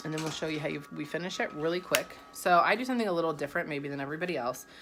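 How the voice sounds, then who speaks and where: A woman with a fairly low pitch speaks at a very fast pace over noticeable background noise. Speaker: makeup consultant. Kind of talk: makeup tutorial. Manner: casual, chatty; stumbling over words.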